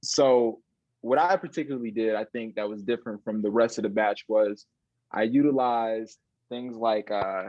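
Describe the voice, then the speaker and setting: A man with an American accent has an ordinary speaking voice, talking at a moderate pace in a medium pitch with ordinary pitch variation. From Chicago area, Illinois (north of the city). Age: 20s. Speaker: illusionist. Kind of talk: interview.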